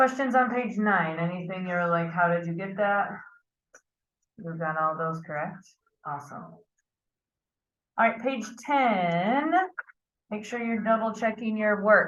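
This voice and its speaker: A woman with a medium pitch talks at a fairly slow pace, leaving long, frequent pauses. Her intonation is lively, and the room echo is audible. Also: big swings in loudness. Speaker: math teacher. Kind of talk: lecture.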